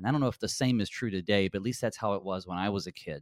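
Recorded very cleanly with a silent background and a dry, close sound with no echo, a man with an American accent speaks at a fairly low pitch. He has an ordinary speaking voice with ordinary pitch variation. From US South, mountains of North Carolina. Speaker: pastor. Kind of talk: theological discussion.

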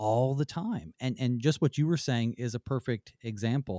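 A man with a Southern US accent and a dark, mellow tone is heard in a very clean recording with a silent background. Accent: faint Southern US. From US South. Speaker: pastor and radio Bible-study host. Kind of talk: Bible study discussion. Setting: radio studio.

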